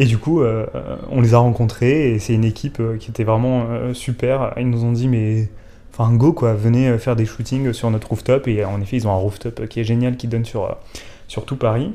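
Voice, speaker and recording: Speaking at a moderate pace, a man uses a medium pitch and a dark, mellow tone with fairly even intonation. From southern France. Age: 20s. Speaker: brand communications manager. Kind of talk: casual chat. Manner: hesitant.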